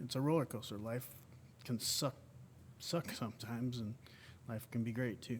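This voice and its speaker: A man with a medium pitch and a somewhat breathy voice speaks at a moderate pace with fairly even intonation and long, frequent pauses. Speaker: wounded combat veteran. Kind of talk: interview conversation. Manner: halting.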